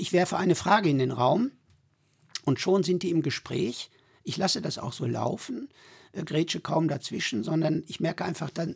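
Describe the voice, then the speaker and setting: A man's fairly high voice with vocal fry and lively intonation, at a moderate pace, in a dry, close sound with no echo. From Sauerland, Germany. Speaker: pilgrim guide, villager. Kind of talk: casual interview.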